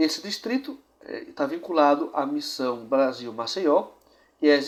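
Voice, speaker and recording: A man talks with lively intonation. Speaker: church history show presenter. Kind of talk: presented history narration.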